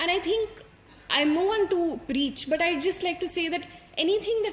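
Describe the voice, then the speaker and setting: A woman with an Indian accent talks at a fairly quick pace with lively intonation. Noticeable background noise runs behind her. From India, Hindi-speaking. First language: Hindi. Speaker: civil service exam topper. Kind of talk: motivational talk to an audience. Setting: stage with audience. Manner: halting, many fillers.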